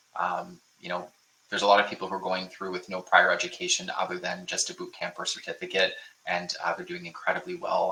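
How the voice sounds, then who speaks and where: The man talks at a very fast pace. He speaks with a Canadian accent. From Ontario, Canada (Niagara Falls). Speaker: bootcamp info session host. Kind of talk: live webinar Q&A. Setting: online livestream. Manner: casual, filler-heavy.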